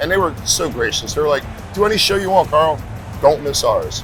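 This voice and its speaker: A man rushes along at a very fast pace while music plays behind him. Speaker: tattoo convention MC and radio DJ. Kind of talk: interview answer, casual storytelling. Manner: friendly, conversational.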